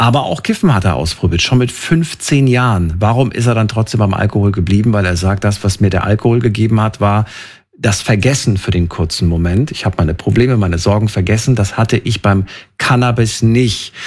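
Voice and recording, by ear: A man talks fairly quickly at a fairly low pitch, with few pauses. His tone is slightly mellow and his pitch variation ordinary.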